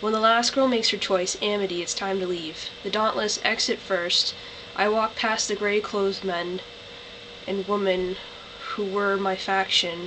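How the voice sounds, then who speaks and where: A woman speaks in a monotone, flat intonation. There is noticeable background noise behind her. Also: medium pitch for a woman, moderate pace. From Canada. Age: young. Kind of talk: reading aloud from a novel.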